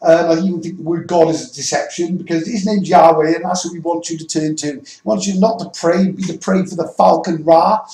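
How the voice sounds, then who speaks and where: With a British accent, a man talks at a fairly quick pace in a high pitch. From Wales. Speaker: religious YouTuber. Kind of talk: monologue vlog. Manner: stuttering; halting, repetitive.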